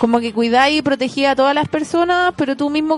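Delivered very fast in a Chilean accent, the speech has an animated tone. Its pitch varies in an ordinary way. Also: woman. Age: 20s. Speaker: astrologer. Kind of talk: casual chat.

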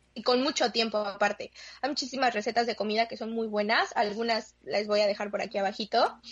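A woman with a plain, everyday voice speaks at a moderate pace in a fairly high pitch with fairly even intonation. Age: 20s. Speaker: guest who works with children. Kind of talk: casual chat.

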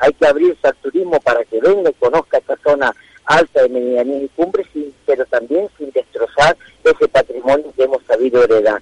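The speech moves at a fairly quick pace, recorded dry and close with no echo. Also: man. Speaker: mayor. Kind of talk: interview.

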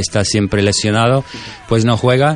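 Over noticeable background noise, a man with an English accent speaks in a fairly low pitch with fairly even intonation. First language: English (speaking Spanish). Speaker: football correspondent. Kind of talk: casual chat. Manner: halting.

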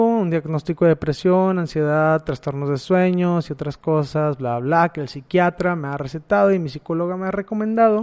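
A man talks at a moderate pace in a northern Mexican accent. His pitch is high for a man. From Mexico, Matamoros, Tamaulipas. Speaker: podcast host. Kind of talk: personal monologue. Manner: casual, with hesitations.

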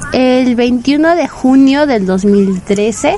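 Shouting at a very slow pace, a woman with a high pitch makes very wide pitch swings over noticeable background noise. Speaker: internet radio host for anime. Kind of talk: casual radio monologue. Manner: normally loud and shouty; quieter than usual, saving voice.

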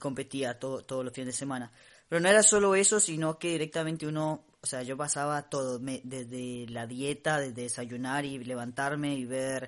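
Here a man talks at a moderate pace in a normal speaking voice. His pitch variation is ordinary. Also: quiet background. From Costa Rica. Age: 30s. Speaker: podcast co-host. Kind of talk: casual chat. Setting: home recording, not a studio booth.

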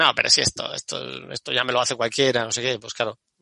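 A man at a very fast pace and medium pitch, with a dry, close sound and no echo. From Andalusia, Spain. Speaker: architect and university lecturer. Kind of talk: casual chat.

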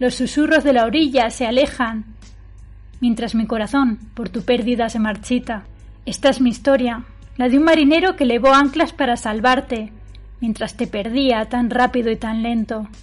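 A woman's high voice at a moderate pace, with ordinary pitch variation and music in the background. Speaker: podcast host and poet. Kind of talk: scripted intro and interview chat.

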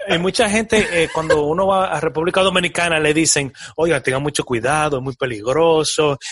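Fairly quick and with hardly any pauses, a man talks in an ordinary speaking voice, fairly high in pitch, with ordinary pitch variation. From Dominican Republic, moved to New York around age 10. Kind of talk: casual interview chat.

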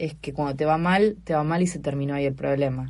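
With a Buenos Aires accent, a woman talks in a very deep, low voice using fairly even intonation. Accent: Rioplatense Spanish (Buenos Aires). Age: 40s. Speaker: stand-up comedian and scientist. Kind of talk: casual interview chat.

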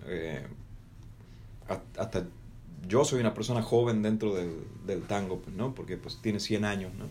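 At a fairly slow pace, a man speaks with audible room echo around him. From Argentina, Salta. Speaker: radio host. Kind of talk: casual chat.

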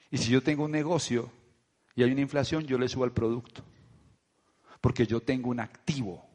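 Animated in tone, a man speaks at a fairly quick pace and medium pitch. He leaves long, frequent pauses. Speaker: network marketing leader. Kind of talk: motivational talk.

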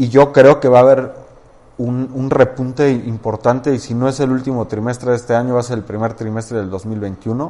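An ordinary speaking voice, this man's is medium in pitch, with fairly even intonation and a moderate pace. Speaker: real estate firm co-founder. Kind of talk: interview.

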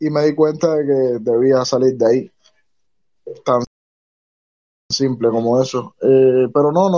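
A man's fairly high voice, with ordinary pitch variation and long, frequent pauses. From Cuba. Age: 20s. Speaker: self-employed worker, former port worker. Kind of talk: live audio space discussion.

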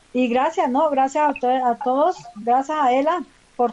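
Over noticeable background noise, a woman with a coastal Colombian accent talks at a fairly slow pace in a high voice. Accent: Colombian coastal-sounding. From Colombia, Valle del Cauca (Palmira). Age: 50s. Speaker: community leader. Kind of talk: casual chat.

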